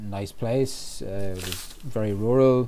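An Irish accent with fairly even intonation, over noticeable background noise. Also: man. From Ireland, County Roscommon (west/Midlands). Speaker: writer and historian. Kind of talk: interview about mental health. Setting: podcast recording. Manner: halting, many fillers.

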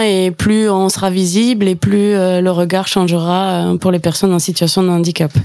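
A woman with a southwestern French accent, medium in pitch, calm and dark, mellow in tone, at a fairly slow pace with fairly even intonation. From Gers, southwest France. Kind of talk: radio interview.

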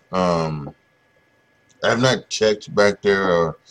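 Over a quiet background, a man speaks in a very deep, low pitch. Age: 40s. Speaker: podcast host and YouTuber. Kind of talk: casual solo monologue. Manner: halting, many fillers and repetitions.

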